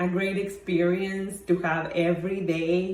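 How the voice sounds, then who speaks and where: Talking at a very slow pace in a fairly low pitch, a woman is recorded with audible room echo. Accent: Mexican. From Mexico. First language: Spanish. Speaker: wine blogger. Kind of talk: personal talk. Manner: halting, many fillers.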